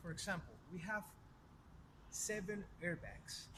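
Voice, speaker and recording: A man with a Spanish accent speaks at a high pitch with ordinary pitch variation. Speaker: car salesperson. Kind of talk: product review. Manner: casual, conversational.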